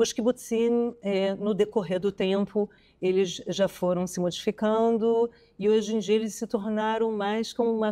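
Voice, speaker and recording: The tone is dark and mellow, with flat, monotone intonation at a fairly slow pace. The sound is dry and close, with no echo. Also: woman. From Brazil. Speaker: archaeologist and historian. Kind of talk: casual interview conversation. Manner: hesitant, with fillers.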